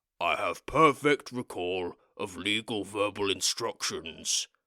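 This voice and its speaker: A put-on character voice rumbles at a fairly slow pace on a very clean recording with a silent background. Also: man, fairly low pitch for a man. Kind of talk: formal. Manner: flat, precise.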